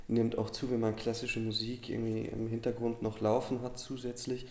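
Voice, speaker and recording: In a room with audible echo, a man talks at a medium pitch and moderate pace with monotone, flat intonation. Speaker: theatre podcast co-host. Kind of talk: casual chat.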